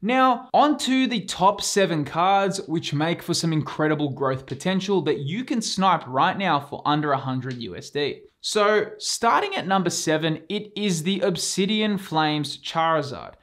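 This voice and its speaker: A man's high voice with lively intonation, a moderate pace and hardly any pauses. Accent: Australian. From Australia. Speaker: YouTube collectibles investing host. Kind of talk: scripted YouTube presentation.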